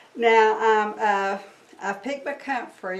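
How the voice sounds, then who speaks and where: Her pitch is fairly high and her intonation lively. The woman keeps a moderate pace. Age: 60s. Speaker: herbalist teacher. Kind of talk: tutorial. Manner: casual, hesitant with fillers.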